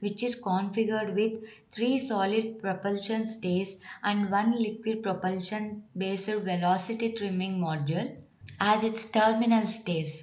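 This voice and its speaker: Somewhat breathy and medium in pitch, a woman's voice moves at a moderate pace with ordinary pitch variation. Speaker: exam coaching educator. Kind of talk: educational lecture.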